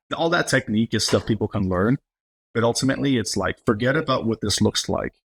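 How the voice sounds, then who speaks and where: Somewhat breathy speech with an American accent comes at a very fast pace, with ordinary pitch variation. The recording is very clean with a silent background and a dry, close sound with no echo. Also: man, medium pitch for a man. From Los Angeles, Highland Park. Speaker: entertainment company president and actor. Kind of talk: casual interview chat.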